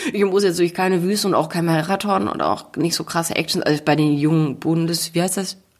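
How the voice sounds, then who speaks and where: A woman with a normal speaking voice, fairly low in pitch, talks at a fairly quick pace with ordinary pitch variation and hardly any pauses. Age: 30s. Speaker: author and motivational speaker. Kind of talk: casual chat. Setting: makeshift home podcast booth.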